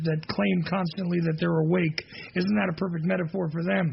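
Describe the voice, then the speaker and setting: Against noticeable background noise, a man with a high pitch speaks with ordinary pitch variation. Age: 40s. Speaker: radio host. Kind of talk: talk radio monologue.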